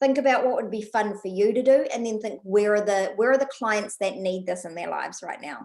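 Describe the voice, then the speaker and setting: A woman speaks at a fairly quick pace with hardly any pauses, ordinary pitch variation and big swings in loudness. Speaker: business coach. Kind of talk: online workshop tutorial. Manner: fast; animated.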